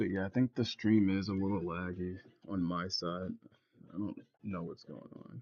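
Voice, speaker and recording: With a very deep, low pitch and a relaxed tone, a man speaks at a moderate pace with fairly even intonation, long, frequent pauses and big swings in loudness. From US South. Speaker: digital artist streamer. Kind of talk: casual livestream chat. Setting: livestream. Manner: casual, relaxed.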